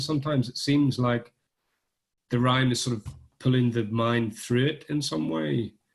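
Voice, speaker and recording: Somewhat breathy speech at a fairly quick pace. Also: man. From Northern Ireland. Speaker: poet. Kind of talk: literary conversation. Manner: halting, hesitant.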